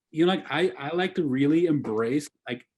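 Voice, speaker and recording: A man with a German accent and a fairly high pitch speaks at a moderate pace with ordinary pitch variation. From Germany. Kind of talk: casual interview conversation. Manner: hesitant, many fillers and restarts.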